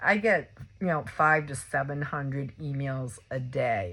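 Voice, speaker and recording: A woman speaks with a very deep, low pitch and ordinary pitch variation against a quiet background. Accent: Massachusetts. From Massachusetts. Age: 60s. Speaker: video blogger, patient sharing experience. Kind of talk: personal testimony vlog. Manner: halting, many fillers and repeats.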